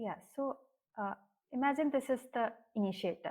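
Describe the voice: Here a woman speaks with a fairly high pitch and ordinary pitch variation. Her tone is slightly mellow. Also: moderate pace.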